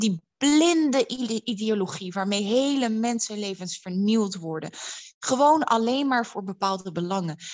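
This woman uses an ordinary speaking voice at medium pitch, with lively intonation and a fairly slow pace. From Netherlands, Amsterdam. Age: 30s. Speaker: public speaker and writer. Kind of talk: interview. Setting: at home.

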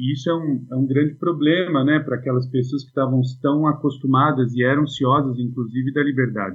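An ordinary speaking voice with fairly even intonation, very even loudness and hardly any pauses. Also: man, medium pitch for a man, fairly quick pace. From Brazil, Suzano (São Paulo state). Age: 40s. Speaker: philosophy teacher. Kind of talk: casual chat.

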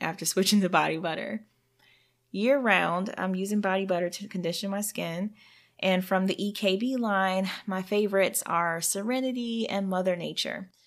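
Speaking at a moderate pace, a woman uses an animated tone at a medium pitch. The recording is very clean, with a silent background. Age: 30s. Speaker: podcast host and skincare entrepreneur. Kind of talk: solo podcast monologue.

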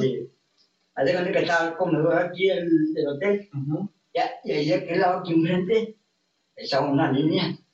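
A high-pitched man speaks at a moderate pace with fairly even intonation. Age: 20s. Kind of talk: casual interview chat.

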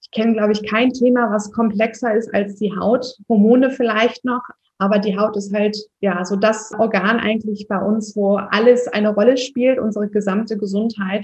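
The woman's pitch is fairly high and her pace moderate. Her intonation stays monotone and flat. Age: 30s. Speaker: skin health practitioner. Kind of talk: podcast interview.

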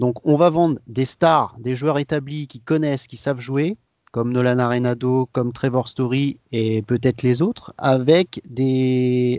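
Here a man with a medium pitch speaks at a fairly slow pace with fairly even intonation. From France. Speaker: social media manager for a fan account. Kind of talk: casual chat. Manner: hesitant, many fillers.

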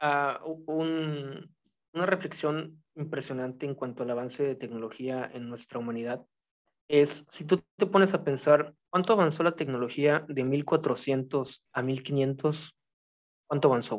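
A man with a plain, everyday voice speaks at a fairly slow pace and fairly high pitch, his pitch variation ordinary and his loudness swinging widely. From Mexico. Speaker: writer. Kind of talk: casual chat.

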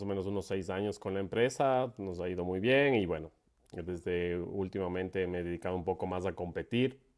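A man speaks at a moderate pace. His pitch is very deep and low, with ordinary pitch variation. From Ecuador, Quito. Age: 40s. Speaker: paragliding pilot and event organizer. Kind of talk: casual interview.

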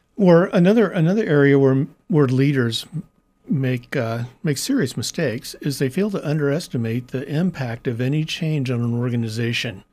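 This man has a dark, mellow tone and a fairly high pitch, with a Midwestern American accent. He talks at a moderate pace with lively intonation. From US Midwest, Kansas City. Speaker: nonprofit strategy consultant. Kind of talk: interview conversation. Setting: studio.

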